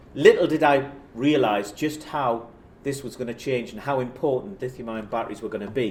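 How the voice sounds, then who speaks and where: With a Geordie accent, a man of medium pitch speaks at a fairly quick pace, his pitch varying in an ordinary way and his loudness swinging widely, while the room echo is audible. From northern England, South Shields (Tyneside). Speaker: professor. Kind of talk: lecture. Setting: stage with audience. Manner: casual, self-deprecating.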